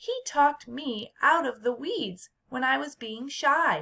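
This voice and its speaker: Someone is doing a put-on character voice. The delivery is fairly slow. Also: woman, high pitch for a woman. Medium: read story.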